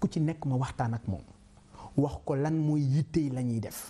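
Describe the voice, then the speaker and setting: Here a man speaks at a fairly slow pace in a dark, mellow tone. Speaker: politician and businessman. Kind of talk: interview.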